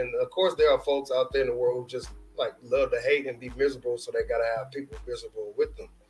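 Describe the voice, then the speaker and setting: Someone speaks at a very fast pace with a Houston accent. Music plays in the background. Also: man. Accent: Houston Texas twang. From Houston, Texas. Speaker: sports streamer. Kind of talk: live stream sports commentary. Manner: casual, with many fillers.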